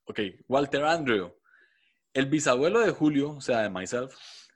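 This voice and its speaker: On a quiet background, a man speaks at a moderate pace with a fairly high pitch. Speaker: podcast co-host. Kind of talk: casual chat.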